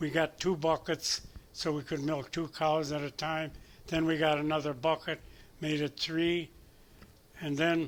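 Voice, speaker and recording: A man with an American accent speaks in a fairly high pitch with monotone, flat intonation. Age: 90s. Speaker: retired dairy farmer. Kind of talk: show-and-tell talk to an audience. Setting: community heritage center event. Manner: halting, many fillers and restarts.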